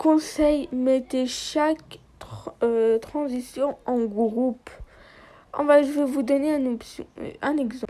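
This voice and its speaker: A woman speaks at a very slow pace with a high pitch. Her tone is dark and mellow, and her intonation stays fairly even. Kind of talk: app tutorial voiceover.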